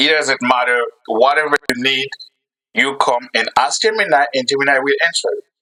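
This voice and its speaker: A man speaks with a non-native accent. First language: not English. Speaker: YouTube creator. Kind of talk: tutorial. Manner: halting.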